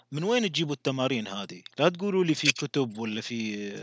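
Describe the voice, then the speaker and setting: Very wide pitch swings against a quiet background. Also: man, dry, close sound with no echo. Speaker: podcast host. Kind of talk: interview.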